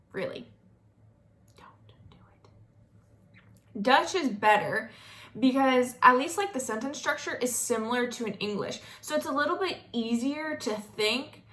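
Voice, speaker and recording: Long, frequent pauses break up a woman's high-pitched speech in a slight Southern US accent. Her tone is bright and sharp, her intonation lively, and her loudness swings widely. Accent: slight Southern drawl. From US South, North Florida. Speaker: vlogger. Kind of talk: casual vlog monologue.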